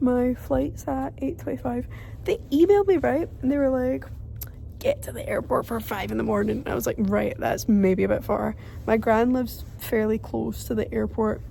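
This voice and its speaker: A woman talks with a Glaswegian accent. There is noticeable background noise. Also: moderate pace. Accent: Glaswegian Scottish. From London, England; raised in Glasgow, Scotland. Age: 20s. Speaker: vlogger. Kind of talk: travel vlog, casual talk to camera. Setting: airport.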